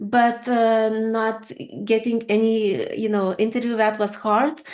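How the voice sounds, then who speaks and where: A woman with a fairly high pitch and a Lithuanian accent. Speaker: HR consultant and career coach. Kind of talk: interview. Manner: hesitant, with fillers.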